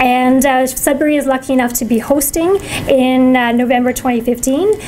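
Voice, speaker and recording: Over noticeable background noise, a woman talks at a fairly quick pace in a high pitch with very even loudness. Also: ordinary pitch variation. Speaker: food policy council presenter. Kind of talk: presentation. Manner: fast.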